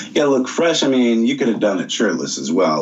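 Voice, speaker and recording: Noticeable background noise fills the clip. Audible room echo is also present. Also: man. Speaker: voice actor. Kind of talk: interview over video call. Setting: Skype call. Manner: relaxed.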